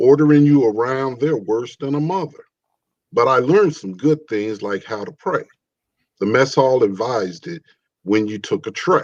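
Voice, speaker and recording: An unremarkable speaking voice with an American accent. The pace is moderate and the intonation lively. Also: man, medium pitch for a man. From Chicago. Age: 60s. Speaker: poet. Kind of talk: reading aloud.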